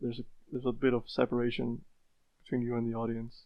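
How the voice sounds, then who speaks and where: A man with an Icelandic accent, medium in pitch, at a moderate pace. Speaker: speedrunner. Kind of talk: podcast interview. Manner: hesitant, with repetitions.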